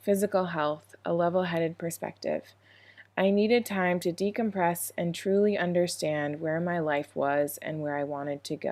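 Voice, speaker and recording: Speaking at a moderate pace with an American accent, the voice comes through on a very clean recording with a silent background. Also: woman. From US Midwest, Minnesota. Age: 20s. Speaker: English teacher abroad. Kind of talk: scripted narration.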